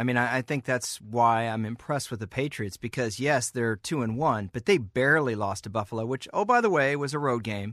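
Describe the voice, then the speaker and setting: With a normal speaking voice at a medium pitch, a man talks at a fairly quick pace with hardly any pauses and ordinary pitch variation, in a dry, close sound with no echo. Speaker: football writer. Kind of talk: casual sports talk.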